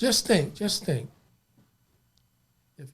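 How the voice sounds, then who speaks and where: Lively intonation at a moderate pace. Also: man. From Los Angeles, South Central. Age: 60s. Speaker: imam. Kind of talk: podcast interview.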